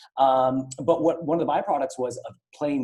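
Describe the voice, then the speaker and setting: With a Canadian accent, a man speaks in a dark, mellow tone at a fairly high pitch. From Ottawa, Canada. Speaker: event host. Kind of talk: interview. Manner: fast.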